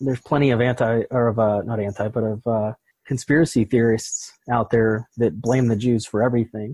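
A man with an American accent, a medium pitch and a somewhat breathy, dark, mellow tone, speaking at a moderate pace with fairly even intonation in a dry, close sound with no echo. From Pittsburgh, US. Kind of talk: interview.

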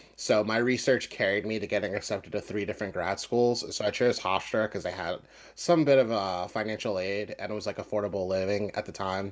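A man with a normal speaking voice and an American accent talks at a fairly quick pace with hardly any pauses, fairly low pitch and fairly even intonation, on a very clean recording with a silent background. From US, Philadelphia. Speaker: musician and podcaster. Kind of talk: casual interview.

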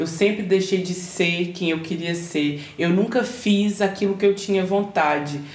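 Medium pitch from a woman, with fairly even intonation, hardly any pauses and audible room echo. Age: 30s. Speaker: chef and entrepreneur. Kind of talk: personal testimony in interview.

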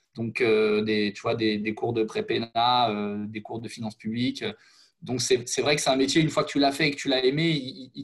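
A man with a medium pitch talks at a moderate pace with ordinary pitch variation. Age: 30s. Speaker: former teacher. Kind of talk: interview conversation. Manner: halting.

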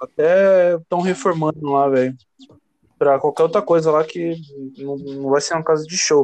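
The delivery is fairly slow with fairly even intonation. Long pauses come often. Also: man, fairly high pitch for a man. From São Paulo, Brazil. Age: 20s. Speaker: DJ. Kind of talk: casual chat.

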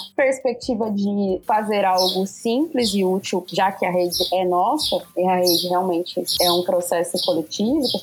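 A woman speaks at medium pitch over noticeable background noise. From southern Minas Gerais, Brazil. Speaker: music career manager and entrepreneur. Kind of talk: interview.

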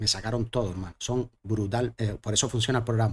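A man speaks in a normal speaking voice at medium pitch and a fairly quick pace. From Canary Islands, Gran Canaria. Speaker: singer-songwriter. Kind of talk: casual chat.

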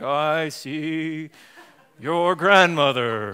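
Using a put-on character voice, a man delivers his lines in a dramatic tone at a fairly high pitch. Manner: dramatic, mystical.

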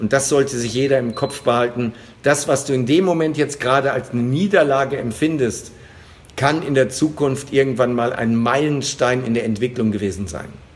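This man has an unremarkable speaking voice at a medium pitch. His pace is moderate and his pitch varies in an ordinary way. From western Germany. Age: 50s. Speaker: sales trainer. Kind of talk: interview. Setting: remote call.

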